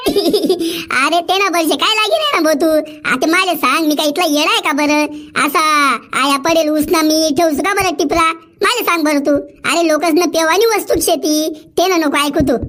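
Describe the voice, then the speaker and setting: Over light background noise, a woman performs a cartoonish character voice at an extremely high pitch and a moderate pace. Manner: loud, cheerful street vendor.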